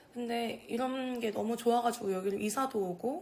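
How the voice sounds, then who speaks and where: Somewhat breathy, a woman speaks in a relaxed tone. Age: young. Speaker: video creator documenting older residents' stories. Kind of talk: casual talk to camera. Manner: informal, relaxed.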